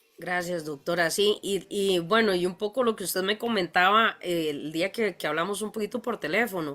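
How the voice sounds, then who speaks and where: A woman speaks at a moderate pace with hardly any pauses. Her tone is bright and sharp. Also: medium pitch for a woman, ordinary pitch variation. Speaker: veterinarian, panel moderator. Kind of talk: panel discussion. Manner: hesitant, many fillers.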